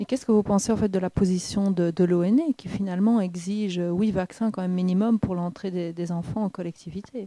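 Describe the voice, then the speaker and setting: Speaking at a fairly quick pace with hardly any pauses, a woman uses a medium pitch, a dark, mellow tone and fairly even intonation, recorded dry and close with no echo. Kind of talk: interview questions.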